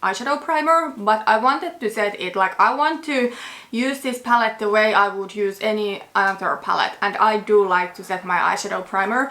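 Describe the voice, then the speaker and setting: A woman's fairly high voice with lively intonation, amid noticeable background noise. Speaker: beauty vlogger. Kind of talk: casual chat.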